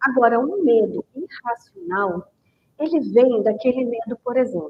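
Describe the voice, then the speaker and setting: A woman speaks at a high pitch and a very slow pace. Her pitch swings very widely. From Goiás, Brazil. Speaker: book club host. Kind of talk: live stream talk. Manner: conversational.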